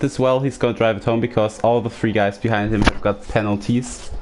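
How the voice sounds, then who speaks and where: Over noticeable background noise, a man speaks with a German accent. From Germany. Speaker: sim racing commentator. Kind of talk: live commentary.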